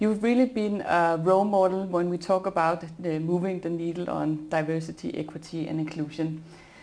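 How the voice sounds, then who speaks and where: A woman speaks in a normal speaking voice at a moderate pace. Her pitch sits fairly low and her intonation stays fairly even. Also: hardly any pauses. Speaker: podcast host. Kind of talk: interview conversation.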